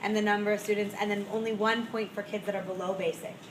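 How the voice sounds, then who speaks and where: A woman with a fairly high pitch talks at a fairly quick pace in a flat monotone, with noticeable background noise behind her. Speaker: school principal. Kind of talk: meeting presentation. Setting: school meeting with audience. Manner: fast.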